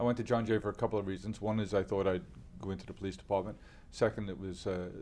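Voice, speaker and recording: A man with a New York accent talks very fast in a fairly low voice with a dark, mellow tone and fairly even intonation. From New York City, Queens. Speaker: company founder. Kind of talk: interview. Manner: halting, many fillers.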